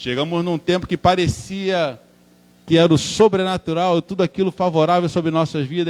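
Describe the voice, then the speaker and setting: A man speaks with a Rio de Janeiro accent. His pitch is fairly high. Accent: Rio de Janeiro (carioca). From Brazil, Rio de Janeiro. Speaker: preacher. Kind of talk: sermon. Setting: church.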